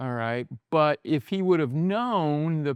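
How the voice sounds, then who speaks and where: Here is a man with an unremarkable speaking voice, a fairly high pitch and lively intonation, going at a fairly slow pace. The background is quiet and the sound is dry and close with no echo. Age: 60s. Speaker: pastor. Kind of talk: podcast interview. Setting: bar.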